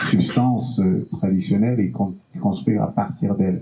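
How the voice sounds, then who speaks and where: A man's moderate pace amid noticeable background noise. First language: Bassa (speaking French). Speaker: musician. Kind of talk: panel discussion.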